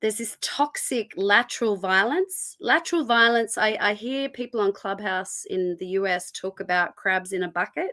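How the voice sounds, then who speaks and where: Over a very clean recording with a silent background, a woman speaks at a moderate pace, her medium-pitched voice bright and sharp with ordinary pitch variation. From Egyptian Copt heritage. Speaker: activist interviewee. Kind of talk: live interview. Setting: live stream interview.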